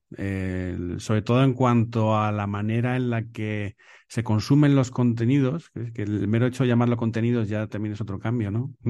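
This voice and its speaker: A man's medium-pitched, dark and mellow voice at a moderate pace, with fairly even intonation over a quiet background. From Spain, Salamanca province. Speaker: photographer and videographer. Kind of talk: interview. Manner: halting, with many repeated words.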